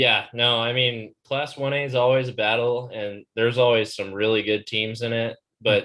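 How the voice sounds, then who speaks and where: A man with a Midwestern US accent, monotone and flat in intonation, medium in pitch, at a moderate pace with hardly any pauses. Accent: US Midwest. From Iowa, US Midwest. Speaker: co-host, student. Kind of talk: casual chat. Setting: video call.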